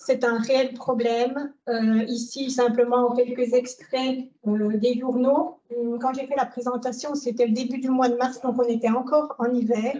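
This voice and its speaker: Her tone is dark and mellow, and the woman speaks at a fairly slow pace with a high pitch and a monotone, flat intonation. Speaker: dam engineer. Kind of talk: lecture. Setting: lecture hall with audience. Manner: hesitant, many fillers.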